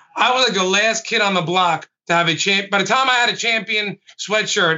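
The speaker has a New York accent. Pitch variation is ordinary. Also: man. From Brooklyn, New York. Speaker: lead pastor. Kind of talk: casual panel discussion. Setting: video call.

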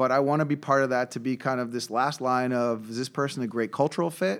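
A New York accent with ordinary pitch variation, on a very clean recording with a silent background. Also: man. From US Northeast, Brooklyn, New York. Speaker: startup CEO and co-founder. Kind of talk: interview.

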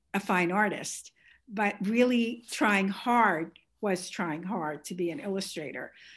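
A woman talks at a fairly slow pace in a New York accent. The background is quiet. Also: medium pitch for a woman, ordinary pitch variation. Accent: Bronx New York. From New York, the Bronx. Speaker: artist. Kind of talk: interview conversation.

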